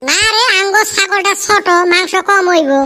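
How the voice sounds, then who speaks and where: A man puts on a cartoonish, squeaky character voice pitched extremely high. He keeps a moderate pace over light background noise. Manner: grumbling.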